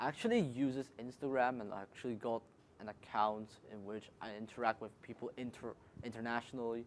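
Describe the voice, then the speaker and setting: In a Cantonese accent, a man talks at a fairly quick pace with monotone, flat intonation and big swings in loudness. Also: medium pitch for a man. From Hong Kong. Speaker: student. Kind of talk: panel discussion.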